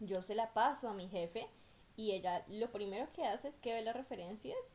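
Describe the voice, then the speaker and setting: The speaker, with a Colombian accent, talks at a moderate pace. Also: woman. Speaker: podcast co-host, migrant worker. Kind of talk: casual chat.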